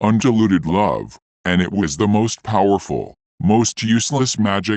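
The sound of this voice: Fairly even intonation in an unforced reading voice, quiet surroundings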